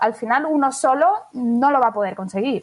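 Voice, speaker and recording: Her voice sits at a high pitch, and this woman shows ordinary pitch variation. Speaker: business manager. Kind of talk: interview. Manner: fast.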